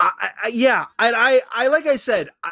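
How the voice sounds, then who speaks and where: A man's raised, projected voice, bright and sharp in tone, dry and close with no echo, on a very clean recording with a silent background. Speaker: podcast host guest. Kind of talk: casual podcast chat. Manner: scatterbrained, casual.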